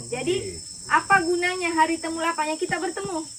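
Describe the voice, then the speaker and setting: A woman speaks loudly at an extremely high pitch, keeping her intonation fairly even. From Central Java (Solo). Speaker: agricultural official. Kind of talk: official speech.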